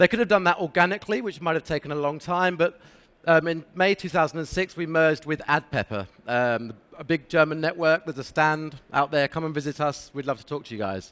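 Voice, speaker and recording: A man's fairly high voice with a British accent, fairly quick, with ordinary pitch variation and a dry, close sound with no echo. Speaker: sales manager at an affiliate network, conference speaker. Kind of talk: conference presentation. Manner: fast.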